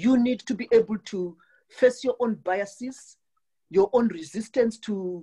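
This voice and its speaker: Somewhat breathy, a woman with a Southern African accent speaks at a fairly high pitch in a dark, mellow tone with ordinary pitch variation. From Southern Africa (South Africa/Zimbabwe). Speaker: call participant. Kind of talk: panel discussion question. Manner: halting, stuttering repetitions.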